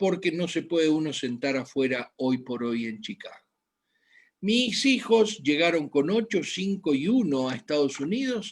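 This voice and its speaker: Pitch swings very wide as a man talks at a fairly high pitch. His pace is fairly slow. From Argentina, Buenos Aires. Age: 60s. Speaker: medical doctor. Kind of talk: health lecture. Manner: halting, with frequent fillers.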